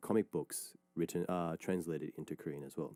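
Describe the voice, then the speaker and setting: A man talks at a fairly quick pace in a very deep, low voice with a dark, mellow tone. The sound is dry and close with no echo, and the recording is very clean over a silent background. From Australia. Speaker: radio DJ. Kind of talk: radio show, reading and answering listener messages. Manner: casual, with many fillers and restarts.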